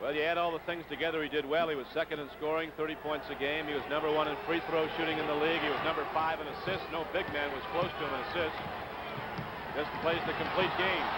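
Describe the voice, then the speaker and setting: Amid loud background noise, a man speaks very fast, and the sound is dry with no echo. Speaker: play-by-play announcer. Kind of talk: sports commentary. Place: stadium. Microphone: headset.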